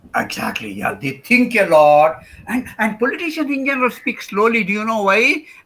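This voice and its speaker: Over noticeable background noise, a man speaks at a moderate pace in a high voice, his pitch swinging very widely. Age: old. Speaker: professor. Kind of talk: lecture. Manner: hesitant with many fillers.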